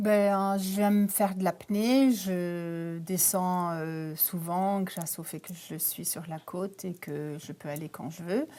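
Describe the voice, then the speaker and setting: A woman speaks at a very slow pace with hardly any pauses, her fairly low pitch carrying a dark, mellow tone, ordinary pitch variation and big swings in loudness, on a very clean recording with a silent background. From Canada. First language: not French (speaking French). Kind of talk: TV interview. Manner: hesitant, many fillers.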